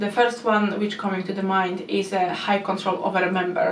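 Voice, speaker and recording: A woman with a non-native accent at a moderate pace, over noticeable background noise. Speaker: YouTube commentary creator. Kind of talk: casual explainer commentary to camera.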